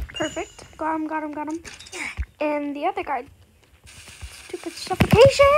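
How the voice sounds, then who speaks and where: Over background music, a woman speaks at a moderate pace in an extremely high pitch, with long, frequent pauses. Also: ordinary pitch variation. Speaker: gaming YouTuber. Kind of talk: gameplay commentary.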